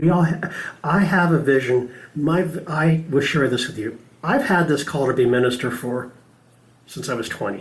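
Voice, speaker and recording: In a room with audible echo, a man talks at a moderate pace with a somewhat breathy, fairly high voice and ordinary pitch variation. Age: 60s. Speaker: spiritual practitioner and speaker. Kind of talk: sermon.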